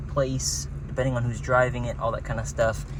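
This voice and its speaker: A man with a very deep, low voice speaks with very wide pitch swings, amid noticeable background noise and audible room echo. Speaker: car dealer. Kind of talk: casual car walkaround.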